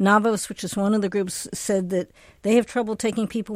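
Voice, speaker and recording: A normal speaking voice moves at a fairly quick pace in a very clean recording with a silent background. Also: woman. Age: 60s. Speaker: health journalist. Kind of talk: panel news discussion.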